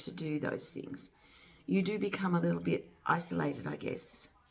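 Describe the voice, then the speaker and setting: Soft-spoken and fairly quick, a woman talks against noticeable background noise. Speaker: amateur artist, channel owner. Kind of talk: casual vlog chat. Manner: halting, many fillers. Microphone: no microphone, camera mic.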